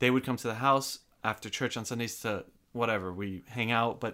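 A man talks at a fairly quick pace with a medium pitch and a normal speaking voice. The recording is very clean, with a silent background. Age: 20s. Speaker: church operations worker. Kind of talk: casual chat. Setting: studio.

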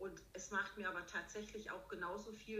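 Noticeable background noise sits behind the speech. The woman keeps a moderate pace. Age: 50s. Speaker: riding instructor and dressage judge. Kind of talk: interview.

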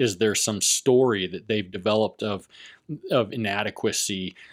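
A man with an American accent speaks in a plain, everyday voice, fairly low in pitch and fairly even in intonation. He goes at a fairly slow pace on a very clean recording with a silent background. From Las Vegas, Nevada. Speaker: podcast co-host, therapist. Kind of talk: casual chat.

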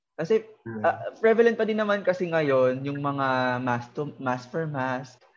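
The voice moves at a fairly slow pace. Its pitch swings very widely. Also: man, fairly high pitch for a man. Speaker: podcast host and TikToker. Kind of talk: casual chat.

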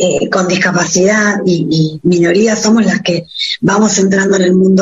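With ordinary pitch variation, a woman talks at a moderate pace and a medium pitch. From Argentina, Patagonia (Puerto Madryn). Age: 40s. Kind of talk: radio interview. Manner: halting, repeats words.

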